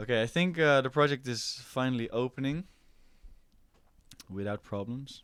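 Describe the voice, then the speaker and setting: Speaking with a Dutch accent at a moderate pace, a man uses a medium pitch with ordinary pitch variation and long, frequent pauses. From Netherlands. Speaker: music producer. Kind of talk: live stream chat. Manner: casual, halting with fillers.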